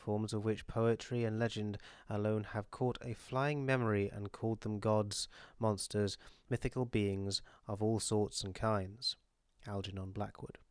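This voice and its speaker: On a very clean recording with a silent background, a man with a British accent speaks slowly-ish in a fairly low, monotone, flat voice. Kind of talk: audiobook reading.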